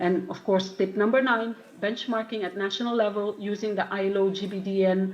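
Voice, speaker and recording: In a non-native accent, a woman with a medium pitch speaks at a fairly quick pace in a monotone, flat intonation, with audible room echo and noticeable background noise. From Philippines. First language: not English. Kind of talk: conference talk. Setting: conference. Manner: halting.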